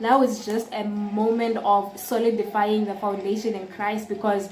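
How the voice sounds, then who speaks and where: Recorded with audible room echo and noticeable background noise, a woman with a fairly high pitch speaks at a fairly slow pace. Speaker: vlogger. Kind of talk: casual vlog talk to camera.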